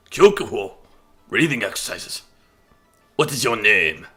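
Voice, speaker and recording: Over faint music in the background, a man puts on a raspy character voice at a fairly high pitch and a moderate pace. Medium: game stream. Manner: commanding, sprinkles Japanese words.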